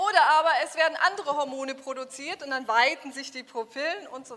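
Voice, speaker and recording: Raising and projecting her high voice over noticeable background noise, a woman talks at a fairly quick pace in an animated tone with ordinary pitch variation. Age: 40s. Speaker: business coach. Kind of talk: workshop lecture. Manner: interactive, animated.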